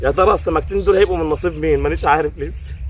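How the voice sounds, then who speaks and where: With an Egyptian accent, a man speaks at a fairly quick pace over noticeable background noise. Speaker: fishing vlogger. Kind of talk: casual chat. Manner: animated.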